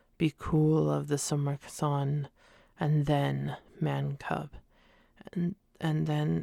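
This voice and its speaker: A woman whispers, soft-spoken. The sound is dry and close, with no echo. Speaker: ASMR reader. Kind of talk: audiobook-style ASMR reading. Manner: soft-spoken, whispering, relaxing.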